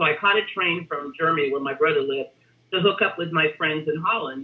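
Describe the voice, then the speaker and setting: Her pitch very deep and low, a woman speaks with lively intonation. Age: 60s. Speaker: retired human resources executive. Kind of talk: interview. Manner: conversational.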